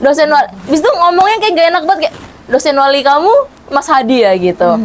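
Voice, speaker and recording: Speaking at a very fast pace, a woman uses a high pitch with very wide pitch swings and very even loudness over noticeable background noise. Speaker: university student, talk show guest. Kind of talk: casual chat. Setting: studio.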